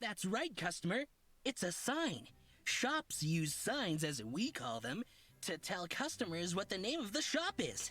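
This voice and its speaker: A put-on character voice at a middle pitch, fairly slow, with very wide pitch swings. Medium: video game. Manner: flowery, theatrical, over-polite; says purr aloud.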